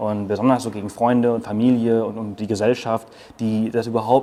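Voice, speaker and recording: A man's medium-pitched voice holds fairly even intonation at a moderate pace. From Mallorca, Spain. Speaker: travel blogger, digital nomad. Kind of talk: interview. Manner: hesitant, many fillers.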